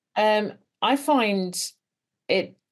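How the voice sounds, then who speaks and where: Her voice belongs to a woman. It carries noticeable vocal fry. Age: 70s. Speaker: former nurse, business woman and coach. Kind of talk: interview answer.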